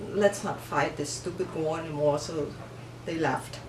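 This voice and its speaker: A woman with a Vietnamese accent at a fairly slow pace, ordinary pitch variation, audible room echo and noticeable background noise. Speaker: refugee immigrant interviewee. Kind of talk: interview. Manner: halting, with self-corrections.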